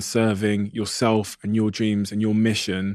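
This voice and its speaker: In a normal speaking voice, a man with a fairly low pitch talks at a moderate pace against a quiet background. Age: 30s. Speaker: podcast host. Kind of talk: scripted narration; interview.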